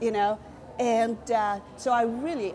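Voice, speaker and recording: Light background noise can be heard as a woman talks. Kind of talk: interview answer. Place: cafe.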